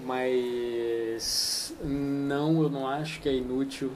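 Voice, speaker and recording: A man with a Minas Gerais accent speaks in a monotone, flat intonation. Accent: Minas Gerais Brazilian Portuguese. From Minas Gerais, Brazil. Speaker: poet. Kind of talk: interview answer. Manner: unhurried, thoughtful, soft.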